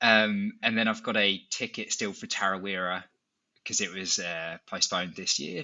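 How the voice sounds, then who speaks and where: A man speaks at a moderate pace with an English accent. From England. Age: 30s. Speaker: amateur ultra runner, podcast guest. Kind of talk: casual chat.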